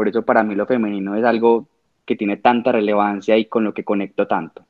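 A man's medium-pitched voice at a moderate pace, an ordinary speaking voice. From Colombia, Medellín. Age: 20s. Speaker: fashion designer. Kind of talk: casual chat.

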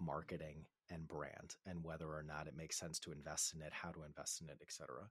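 In a very clean recording with a silent background, a speaker with an American accent sounds dry and close, with no echo. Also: man. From Boston, US. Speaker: marketing consultancy CEO. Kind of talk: interview.

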